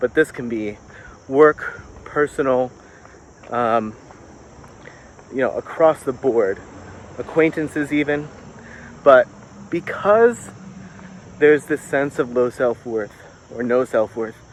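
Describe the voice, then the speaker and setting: Over noticeable background noise, a man talks at a medium pitch and a very slow pace, with ordinary pitch variation and long, frequent pauses. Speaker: self-help vlogger. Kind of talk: walking vlog monologue. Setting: outdoors, walking by a road. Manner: loud; hesitant, with fillers.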